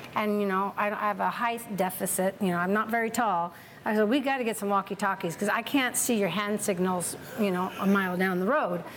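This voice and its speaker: Her loudness very even, a woman with a medium pitch talks at a fairly quick pace. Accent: American. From California, Tracy. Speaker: winery owner. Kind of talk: oral history interview. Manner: animated.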